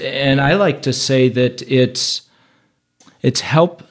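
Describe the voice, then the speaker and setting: A man talks at a fairly slow pace in a medium-pitched voice. It is an unremarkable speaking voice. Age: 50s. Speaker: pastor. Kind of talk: casual chat.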